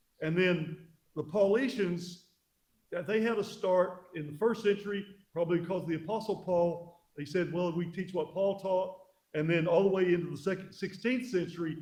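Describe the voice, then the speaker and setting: There is audible room echo around a man's high voice. He talks at a moderate pace with ordinary pitch variation. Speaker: pastor. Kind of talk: church history lecture. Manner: halting.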